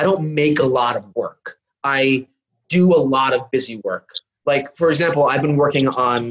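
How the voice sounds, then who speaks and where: An unremarkable speaking voice from a man, fairly high-pitched, at a moderate pace with ordinary pitch variation. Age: 40s. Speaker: visual artist and bartender. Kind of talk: casual chat.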